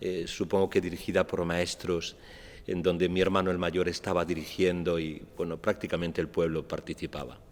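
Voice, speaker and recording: A man speaks at a moderate pace. His voice is very deep and low-pitched. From Andalusia, Almería. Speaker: actor and playwright. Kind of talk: public talk. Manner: hesitant, many fillers.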